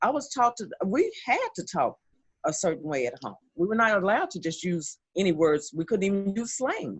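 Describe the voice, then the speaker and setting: A somewhat breathy woman speaks at a moderate pace with very wide pitch swings. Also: medium pitch for a woman. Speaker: model and panelist. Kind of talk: casual panel discussion. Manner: articulate, proper diction.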